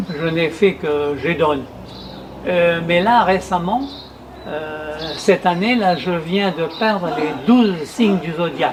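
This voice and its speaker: Over noticeable background noise, a man with a high voice and ordinary pitch variation speaks at a very slow pace. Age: 80s+. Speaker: retired painter and amateur poet. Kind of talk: interview testimony. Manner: hesitant, many fillers and repetitions.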